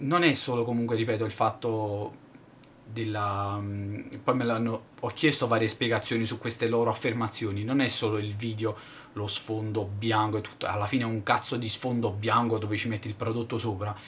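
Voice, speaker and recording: Against light background noise, a man speaks at a moderate pace with a monotone, flat intonation. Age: 20s. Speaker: YouTuber, tech reviewer; YouTuber. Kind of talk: vlog monologue. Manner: halting, many fillers. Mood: irritated, venting. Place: home room. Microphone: webcam.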